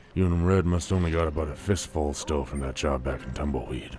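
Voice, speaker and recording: A man puts on a character voice with a very deep, low pitch. He speaks at a very fast pace over clear background noise. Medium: machinima. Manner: terse, grim.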